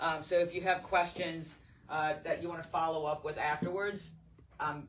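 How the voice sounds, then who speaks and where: The speech moves at a fairly quick pace. Noticeable background noise sits under it. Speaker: governance trainer for charter school boards. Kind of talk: training presentation. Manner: fast.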